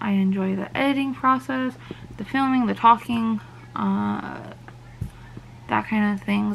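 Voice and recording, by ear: A woman talks at a moderate pace and medium pitch. Her intonation is fairly even, with vocal fry.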